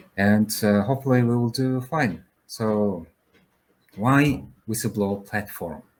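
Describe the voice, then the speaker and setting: Pausing long and often, a man with a fairly low pitch talks at a fairly slow pace. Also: ordinary pitch variation. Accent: Mongolian. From Mongolia. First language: Mongolian. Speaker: founder of a whistleblower platform, compliance officer. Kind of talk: panel discussion. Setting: video call. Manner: halting, many fillers.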